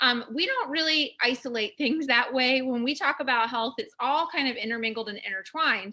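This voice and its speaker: Amid noticeable background noise, a woman with a high pitch and ordinary pitch variation talks in an animated tone at a fairly quick pace, with hardly any pauses. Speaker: online class host on natural health. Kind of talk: live-streamed class. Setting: Facebook live stream. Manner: fast.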